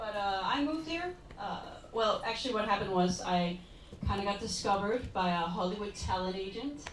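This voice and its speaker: Against noticeable background noise and audible room echo, a woman talks at a fairly quick pace. Her pitch is medium, and she speaks with a Danish accent. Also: ordinary pitch variation. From Denmark, rural village. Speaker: comedian and model. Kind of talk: stand-up. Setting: stage with audience.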